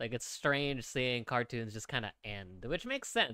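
With a bright, sharp tone and lively intonation, a man talks at a moderate pace. The background is quiet and the sound is dry with no echo. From Philippines. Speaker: 3D artist streamer. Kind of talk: live stream tutorial. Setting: live stream with chat. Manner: casual, filler-heavy. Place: home room. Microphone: studio mic.

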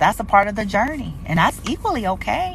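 A woman in an animated tone at a very fast pace, medium in pitch with very wide pitch swings. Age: 40s. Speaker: spiritual reader and live streamer. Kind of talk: casual livestream talk. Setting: social media livestream. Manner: animated, conversational.

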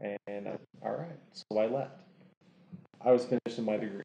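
In a dark, mellow tone, a man talks at a moderate pace, with audible room echo and light background noise. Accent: American. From Oklahoma, small town. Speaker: window tint installer; podcast guest. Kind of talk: casual chat. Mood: relaxed storytelling. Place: home room. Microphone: lapel.

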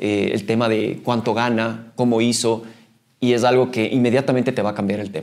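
At a moderate pace, a man speaks against a quiet background. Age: 40s. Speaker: mountaineer and trail runner; podcast guest. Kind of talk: interview. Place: meeting room.

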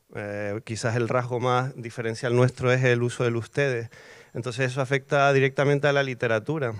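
The delivery moves at a fairly quick pace in a monotone, flat intonation. The background is quiet. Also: man. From Canary Islands, Tenerife; Canary Islands. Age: 40s. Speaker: poet. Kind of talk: panel discussion. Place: garden. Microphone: handheld.

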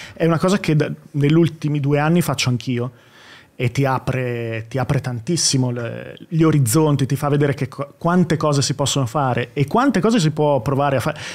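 This man has an ordinary speaking voice and talks at a fairly quick pace. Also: fairly high pitch for a man, ordinary pitch variation. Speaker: YouTuber. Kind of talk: casual chat. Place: studio. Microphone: studio mic.

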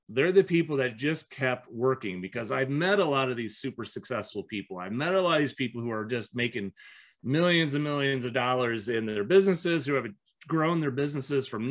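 Over a quiet background, a man with an American accent talks at a fairly quick pace with lively intonation. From US Midwest (Iowa). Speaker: business owner and entrepreneur coach; entrepreneur coach. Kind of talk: interview. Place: home room. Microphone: webcam.

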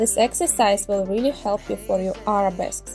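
The speaker has a Russian accent and lively intonation. Faint music plays in the background. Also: woman. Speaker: ballet teacher. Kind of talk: workout instruction.

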